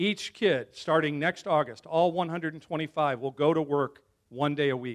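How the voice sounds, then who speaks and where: An unremarkable speaking voice, a man with an American accent talks at a moderate pace with a fairly high pitch and fairly even intonation, recorded very cleanly, dry and close with no echo over a silent background. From Chicago area, US Midwest. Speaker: school communications director, former TV broadcaster. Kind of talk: speech to a club luncheon.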